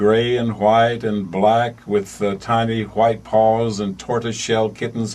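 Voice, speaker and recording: Here is a man talking. He has a Southern US accent. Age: 80s+. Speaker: radio announcer. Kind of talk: radio announcements. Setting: radio studio.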